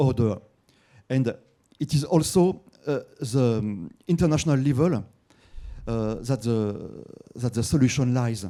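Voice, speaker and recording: A man with a French accent speaks at a fairly slow pace in a medium pitch, with ordinary pitch variation and a dark, mellow tone. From France. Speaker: journalist asking a question from the audience. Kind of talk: audience question at a conference. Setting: conference hall with audience. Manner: halting, many fillers and repeats.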